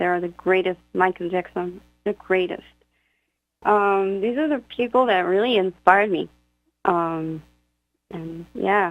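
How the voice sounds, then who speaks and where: With an Israeli accent, a woman speaks at medium pitch and a fairly slow pace, with ordinary pitch variation. She leaves long, frequent pauses. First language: Hebrew. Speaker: singer-songwriter. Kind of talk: radio interview. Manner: halting.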